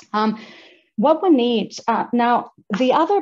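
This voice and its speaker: A woman speaks with a non-native accent. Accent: non-native accent, noticeable. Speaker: women's advocacy organisation founder. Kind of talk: event speech. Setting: video call. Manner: halting, many repetitions.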